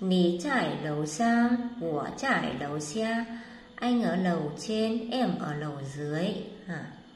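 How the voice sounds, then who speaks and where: A woman speaks very slowly at a medium pitch, her voice making very wide pitch swings. Audible room echo and noticeable background noise are present. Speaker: Chinese language teacher. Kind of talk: lecture.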